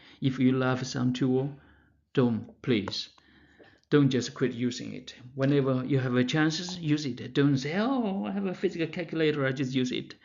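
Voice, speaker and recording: Speaking with a Chinese accent, a man keeps a moderate pace and a medium pitch with ordinary pitch variation, with audible room echo around him. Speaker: math professor. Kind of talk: lecture. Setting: pre-recorded lecture. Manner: halting, with many fillers and restarts.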